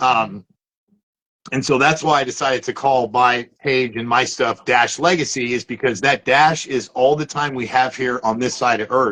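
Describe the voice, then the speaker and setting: A loud man's voice with a bright, sharp tone and fairly even intonation. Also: moderate pace. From Southern California. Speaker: motivational social media host. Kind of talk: live interview conversation. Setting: live broadcast. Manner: high energy.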